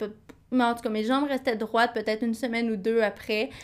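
In a very clean recording with a silent background, a woman speaks at a fairly high pitch with a Quebec accent. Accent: Québécois French. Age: 20s. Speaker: podcast co-host. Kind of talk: casual chat.

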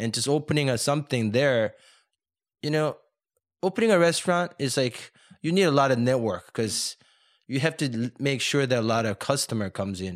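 Speaking in a Korean accent with lively intonation, the voice moves at a fairly quick pace yet leaves long, frequent pauses. The recording is very clean, the background silent. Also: man, medium pitch for a man. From South Korea, moved to the US at 14. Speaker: chef and restaurateur. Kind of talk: interview.

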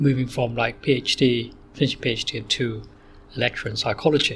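Speaking at a fairly slow pace, a man with a Bedfordshire accent keeps a medium pitch. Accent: southern English, Luton. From southern England, Luton, Bedfordshire. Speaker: psychology lecturer. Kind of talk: interview. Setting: in person recording. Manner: hesitant, many fillers.

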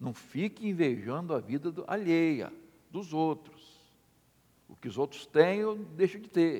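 Lively in intonation yet very slow in pace, a man with a high pitch and a dark, mellow tone speaks with big swings in loudness. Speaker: pastor. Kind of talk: sermon. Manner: halting.

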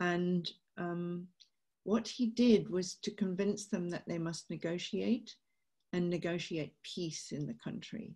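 Very slowly, a woman speaks in a British accent with a fairly low pitch, a dark, mellow, somewhat breathy tone and ordinary pitch variation. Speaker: peace campaigner and author. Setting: video call.

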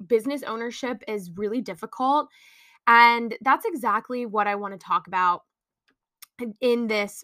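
A woman with a bright, sharp tone speaks at a moderate pace and ordinary pitch variation. The sound is dry and close with no echo, on a very clean recording with a silent background. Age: 20s. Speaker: podcaster and small business owner. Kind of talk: casual monologue. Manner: free-flowing, unscripted.

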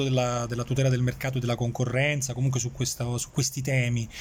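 A man is talking here. His pace is very fast. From Campania, Irpinia (family roots; born in Switzerland). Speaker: journalist. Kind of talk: casual interview. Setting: café. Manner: hesitant, with frequent repetitions.

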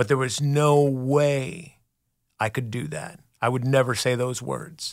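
At a fairly slow pace, a plain, everyday voice speaks with ordinary pitch variation. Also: man, medium pitch for a man. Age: 40s. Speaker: recovery sponsor. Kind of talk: testimony. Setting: studio.

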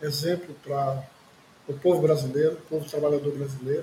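At a moderate pace, a man talks in a fairly high pitch with flat, monotone intonation. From Recife, Pernambuco, Brazil. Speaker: journalist and party activist. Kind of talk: interview testimony. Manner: hesitant fillers.

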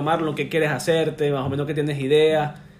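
In a Caracas accent, a man with a fairly high pitch talks amid noticeable background noise and audible room echo. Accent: Venezuelan Caracas Spanish. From Venezuela, Caracas. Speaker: tattoo client. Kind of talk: casual chat.

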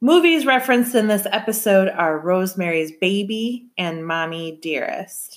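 An American accent marks this woman's speech, which moves at a moderate pace with hardly any pauses. Her pitch is medium, and she has a plain, everyday voice. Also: lively intonation. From Michigan. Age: 30s. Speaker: podcast host. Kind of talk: casual chat.

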